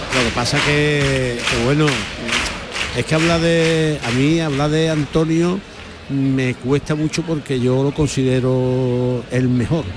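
Crowd noise fills the background as a man talks at a very slow pace, at a fairly high pitch. His loudness stays very even and his intonation fairly even. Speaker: carnival commentator. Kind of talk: live radio commentary. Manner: halting.

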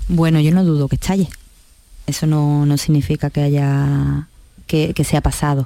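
A woman's very deep, low voice carries a dark, mellow tone, very even loudness and fairly even intonation at a fairly slow pace. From La Línea de la Concepción, Cádiz, Andalusia. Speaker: social worker, director of a social care centre. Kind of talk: radio interview. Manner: halting, with frequent repetitions.

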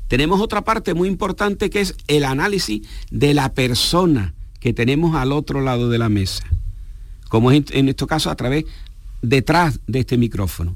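A man with a fairly high pitch speaks at a moderate pace. His pitch swings very widely. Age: 60s. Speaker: geriatrician. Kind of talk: radio interview. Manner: formal.

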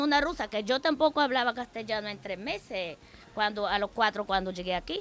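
Lively intonation marks a woman's fairly quick delivery. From Bulgaria. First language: Bulgarian (speaking Spanish). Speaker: immigrant guest. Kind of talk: radio interview.

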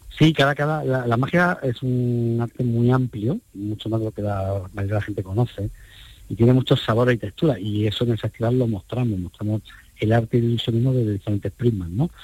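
Somewhat breathy, a man talks at a fairly quick pace and medium pitch with ordinary pitch variation, the sound dry and close with no echo. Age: 50s. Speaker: magician and festival organizer. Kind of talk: interview.

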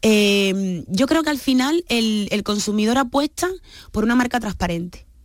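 With a normal speaking voice, a woman talks at a fairly high pitch with lively intonation. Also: very even loudness. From Cuba, of Guinea-Bissau parents. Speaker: business founder. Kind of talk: radio interview.

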